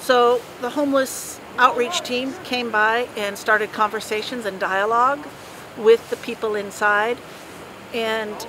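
A woman's voice, dry with no echo, comes through over noticeable background noise. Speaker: official spokesperson. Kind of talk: interview answer. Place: street.

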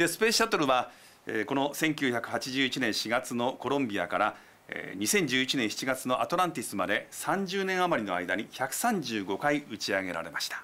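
A man at a moderate pace, with very wide swings in pitch. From Japan. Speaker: TV news commentator. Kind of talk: explanatory news commentary. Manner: polite, measured. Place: studio. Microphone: lapel.

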